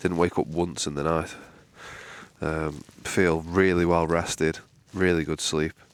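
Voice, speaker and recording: Quietly, a man with a Manchester accent speaks at a moderate pace, his very deep, low voice held in monotone, flat intonation. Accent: northern English (Mancunian). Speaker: outdoor vlogger. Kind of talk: casual vlog talk to camera. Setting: outdoors at a wild camp in the morning. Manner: speaking quietly.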